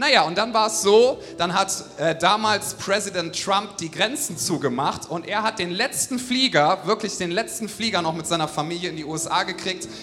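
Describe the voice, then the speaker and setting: A man with a high pitch uses a raised, projected voice and an enthusiastic, upbeat tone with lively intonation. He speaks at a fairly quick pace with hardly any pauses, over noticeable background noise. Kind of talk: stage introduction of a guest, warm and enthusiastic.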